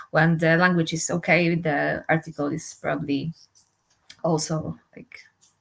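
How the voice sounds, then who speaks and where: Talking with a non-native accent, a woman keeps a fairly low pitch, a moderate pace and fairly even intonation. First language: not English. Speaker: doctoral researcher. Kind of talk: panel interview.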